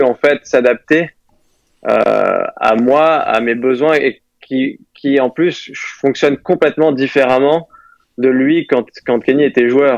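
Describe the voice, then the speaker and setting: Recorded dry and close with no echo, a man speaks at a medium pitch with fairly even intonation. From Moselle, north-eastern France. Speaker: professional golfer. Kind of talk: interview. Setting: phone call. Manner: halting.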